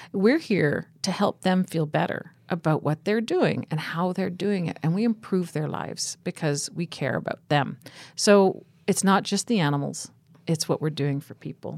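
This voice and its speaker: Through a very clean recording with a silent background and a dry, close sound with no echo, a woman with an unremarkable speaking voice talks at a moderate pace with a fairly low pitch and ordinary pitch variation. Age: 50s. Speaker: animal rescue founder. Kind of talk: interview. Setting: studio.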